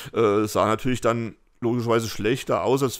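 On a very clean recording with a silent background, a man of medium pitch speaks fairly quickly in a flat monotone. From Fulda, Hesse, Germany. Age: 50s. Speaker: graffiti artist. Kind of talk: casual interview. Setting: at home. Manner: hesitant with many fillers.

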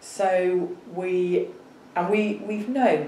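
With a Yorkshire accent, the voice shows ordinary pitch variation, recorded with audible room echo and light background noise. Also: woman. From northern England, Bradford; northern England. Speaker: professor of epidemiology. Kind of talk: interview. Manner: halting. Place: office.

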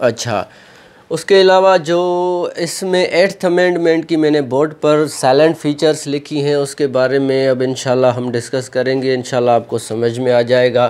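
At a moderate pace, a man speaks with fairly even intonation in a medium-pitched, slightly mellow voice.

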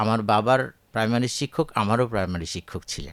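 A man speaks with lively intonation. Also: very clean recording, silent background. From Bangladesh, Chapainawabganj. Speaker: retired agricultural scientist. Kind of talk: radio interview.

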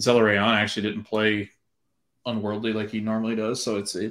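The background is quiet. A man with a fairly low pitch speaks at a moderate pace. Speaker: podcast co-host. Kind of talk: casual sports commentary discussion. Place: home room. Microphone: video call.

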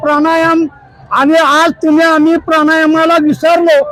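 A man's extremely high pitch over noticeable background noise. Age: 70s. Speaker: pilgrim on the Wari walk. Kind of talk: interview answer. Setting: outdoors. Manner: enthusiastic.

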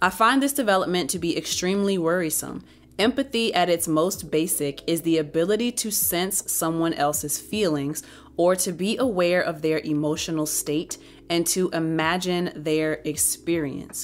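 This woman has a normal speaking voice and a fairly low pitch. She talks at a moderate pace with ordinary pitch variation. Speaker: book reviewer. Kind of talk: book review, reading aloud and commentary. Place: home room. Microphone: studio mic.

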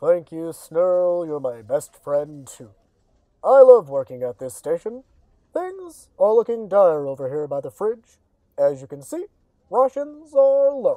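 Pitched in the middle range, a put-on character voice proceeds at a fairly slow pace. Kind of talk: mock on-location news report. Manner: gloomy, dramatic.

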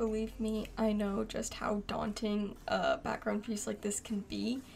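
Noticeable background noise sits behind a woman who speaks quietly at a fairly slow pace. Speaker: digital artist. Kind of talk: speedpaint tutorial narration.

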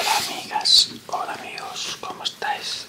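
In a whisper, a man says his words. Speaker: ASMR creator. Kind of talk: ASMR whisper talk while coloring. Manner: whispered, close to the microphone.

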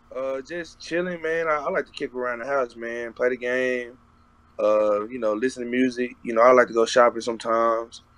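With an American accent, a man talks at a fairly quick pace and with ordinary pitch variation, the sound dry and free of echo. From Texas. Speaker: college football player. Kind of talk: interview. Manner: casual, lots of filler. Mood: relaxed, casual. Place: home room. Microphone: video call.

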